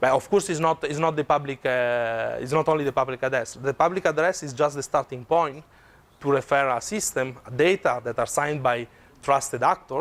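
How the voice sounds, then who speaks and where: A man with an Italian accent speaks at a fairly high pitch and a moderate pace, with ordinary pitch variation. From Italy. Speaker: tech researcher presenter. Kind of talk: conference talk with Q&A. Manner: halting.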